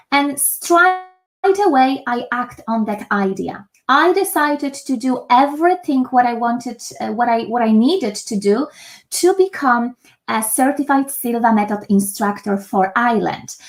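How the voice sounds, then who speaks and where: A woman with a Polish accent, high-pitched, at a fairly slow pace with lively intonation. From Poland. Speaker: meditation instructor. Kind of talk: online master class. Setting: home office. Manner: hesitant, many fillers.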